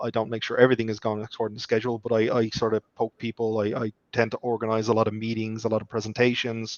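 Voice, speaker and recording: In an Irish accent, a man speaks very fast in a flat monotone at a medium pitch, recorded dry and close with no echo. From Ireland. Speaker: software developer and project manager. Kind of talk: interview.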